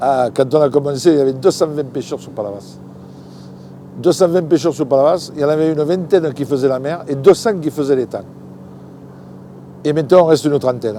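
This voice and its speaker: A man speaks with a fairly high pitch and ordinary pitch variation at a fairly quick pace, broken by long, frequent pauses. His loudness swings widely over noticeable background noise. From southern France. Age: 60s. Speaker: fisherman. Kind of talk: interview answer. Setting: outdoors. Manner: enthusiastic, lively.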